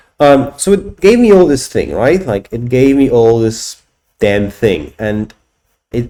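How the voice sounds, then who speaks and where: A man with a Polish accent speaks in a dark, mellow tone at medium pitch. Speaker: software company owner and tech YouTuber. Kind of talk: screen-recorded tech demo. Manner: halting, many repetitions and fillers.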